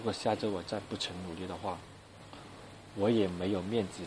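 A man's very deep, low voice in a monotone with flat intonation. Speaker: university student podcaster. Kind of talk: casual solo monologue. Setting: alone in a dorm room.

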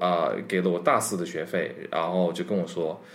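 A man speaks at a moderate pace while audible room echo fills the space. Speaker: overseas worker and former student abroad. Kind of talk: casual chat.

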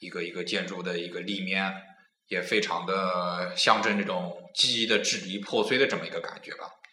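A man speaks at a very deep, low pitch in a monotone, flat delivery at a moderate pace. His loudness swings widely, and the room echo is audible. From Nanjing, China. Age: 20s. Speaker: podcast host. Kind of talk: casual chat.

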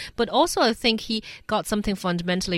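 A woman's bright, sharp tone in a Chinese accent, moderate pace and ordinary pitch variation, on a very clean recording with a silent background. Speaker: radio host. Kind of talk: radio panel discussion.

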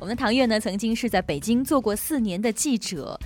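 Here is a woman with an ordinary speaking voice. She talks at a fairly quick pace with lively intonation. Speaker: radio host. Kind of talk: radio current-affairs talk show. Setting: radio studio. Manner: formal.

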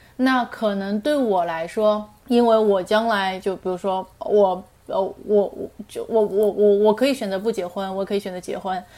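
The tone is dark and mellow. It moves at a moderate pace with fairly even intonation. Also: woman, medium pitch for a woman. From Shanghai, China. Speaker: writer. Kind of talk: casual interview chat. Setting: remote call.

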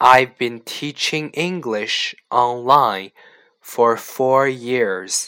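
A man's medium-pitched, bright and sharp voice at a very slow pace, with ordinary pitch variation on a very clean recording with a silent background. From Canada. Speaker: online English teacher. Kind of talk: language lesson reading aloud.

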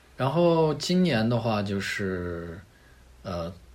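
A man talks somewhat slowly, and the room adds an audible echo. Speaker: rock climber and product manager. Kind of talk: casual interview chat.

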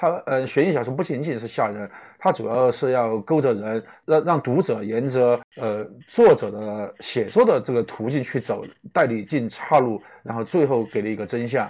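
With a Chongqing accent, a man speaks at a moderate pace and medium pitch with ordinary pitch variation. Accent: noticeable Chongqing-accented Mandarin. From Chongqing, China. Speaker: suspense novelist and screenwriter. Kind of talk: live-stream interview. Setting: online live broadcast. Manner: halting, many filler sounds.

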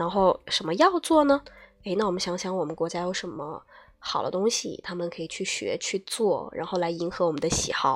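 Using an unremarkable speaking voice, a woman talks at a fairly quick pace in a medium pitch with lively intonation. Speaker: TOEFL speaking tutor. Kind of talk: lecture. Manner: casual, chatty.

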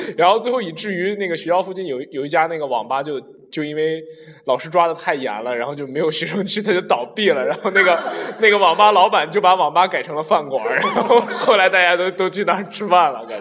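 Very fast, lively speech from a man with a high pitch, over noticeable background noise. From Shanxi. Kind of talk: casual chat.

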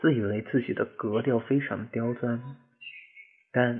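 A man's medium-pitched voice comes through at a fairly slow pace. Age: 20s. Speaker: podcast host. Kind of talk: personal monologue. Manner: muffled, held in throat. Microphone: no headphones, echo.

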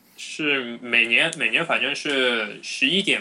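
Noticeable background noise sits under a man's voice, which stays mid-pitched. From Shanghai, China. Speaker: podcast host. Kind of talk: casual chat.

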